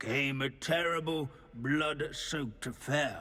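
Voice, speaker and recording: Using a put-on character voice, a man speaks fairly slowly in a fairly high pitch, captured in a very clean recording with a silent background. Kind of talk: academic lecture. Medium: video game. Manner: pedantic, lecturing.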